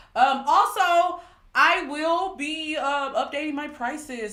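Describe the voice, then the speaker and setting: A woman is speaking. Audible room echo is present. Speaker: tarot reader. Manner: casual, chatty.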